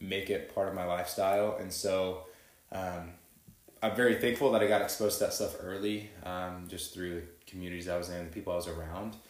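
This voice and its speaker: With an American accent, a man with a very deep, low voice talks at a fairly quick pace in a flat monotone, and the room echo is audible. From Texas. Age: 20s. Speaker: chiropractor. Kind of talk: casual interview chat.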